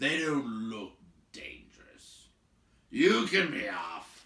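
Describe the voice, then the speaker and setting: A put-on character voice, raspy and gruff, very slow, with very wide pitch swings. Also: man, medium pitch for a man. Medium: read story. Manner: gruff, blunt.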